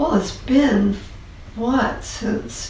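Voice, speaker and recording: Amid noticeable background noise, a woman's words come at a very slow pace. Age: 70s. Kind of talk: interview answer.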